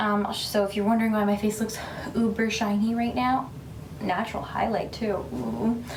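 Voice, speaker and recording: A woman whispers at a moderate pace. Audible room echo and noticeable background noise surround her. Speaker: beauty vlogger and stay-at-home mom. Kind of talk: casual get-ready-with-me vlog. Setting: at home, baby asleep in next room. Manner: whispering.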